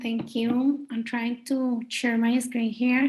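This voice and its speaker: The speaker uses monotone, flat intonation with a Spanish accent. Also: woman. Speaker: professor. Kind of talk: online panel presentation.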